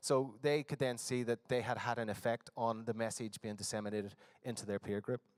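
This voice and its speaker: With a Northern Irish accent, a man speaks at a fairly quick pace and keeps his intonation fairly even. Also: medium pitch for a man, dry, close sound with no echo. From Northern Ireland. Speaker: conference presenter. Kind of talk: conference presentation. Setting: conference hall with audience. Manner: hesitant, many fillers.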